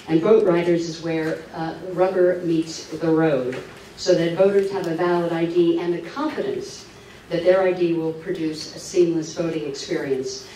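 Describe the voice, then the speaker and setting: Over light background noise and audible room echo, a woman with a fairly low pitch speaks at a fairly slow pace with fairly even intonation. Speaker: speaker. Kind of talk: public talk. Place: hall.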